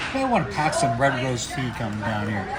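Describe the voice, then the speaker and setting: Man with a Canadian accent at a moderate pace, with audible room echo and noticeable background noise. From western Canada, Vancouver. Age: 60s. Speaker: expat cyclist. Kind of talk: casual outdoor interview.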